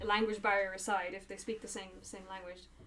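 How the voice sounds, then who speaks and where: A woman speaks at a medium pitch. The room echo is audible. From Ireland. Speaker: YouTuber. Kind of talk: casual chat. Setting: livestream. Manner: halting.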